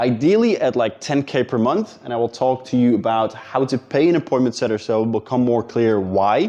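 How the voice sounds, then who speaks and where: A man talks at a very fast pace. He has a Dutch accent. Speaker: business coach. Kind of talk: talking-head tutorial. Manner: casual, with fillers and repetitions.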